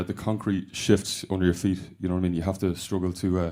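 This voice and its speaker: A man with a Dublin accent and a dark, mellow tone talks at a very fast pace on a very clean recording with a silent background. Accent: Dublin Irish. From Ireland. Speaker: rock band member. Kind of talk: radio interview. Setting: radio studio. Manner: hesitant, many fillers. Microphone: voice booming back in studio monitors.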